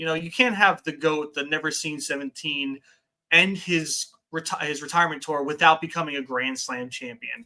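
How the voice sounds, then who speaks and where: A man with a fairly high pitch speaks in a bright, sharp tone. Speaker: wrestling podcast host. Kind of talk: casual chat. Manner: halting.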